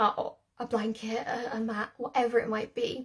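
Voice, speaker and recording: On a very clean recording with a silent background, a woman is speaking. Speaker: dog trainer. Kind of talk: live stream tutorial. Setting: live video stream. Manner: fast.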